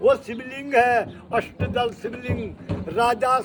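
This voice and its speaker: Over noticeable background noise, a man talks at an extremely high pitch. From Uttarakhand, Jaunsar-Bawar area. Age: 70s. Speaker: temple guide. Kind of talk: guided temple tour narration.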